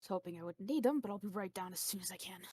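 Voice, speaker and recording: This female-sounding voice is a put-on character voice at medium pitch for a woman. It moves at a very fast pace. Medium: actual play.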